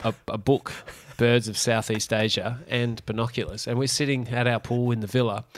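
Speaking in a monotone with flat intonation, a man with an Australian accent uses a medium pitch. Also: moderate pace. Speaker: podcast co-host. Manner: joking, laughing.

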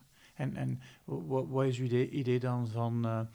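The voice moves at a very slow pace with fairly even intonation. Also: man. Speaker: podcast host. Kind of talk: interview.

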